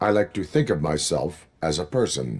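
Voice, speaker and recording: Putting on a character voice with a very deep, low pitch, a man speaks at a moderate pace on a very clean recording with a silent background. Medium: video game. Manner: terse, flat, measured.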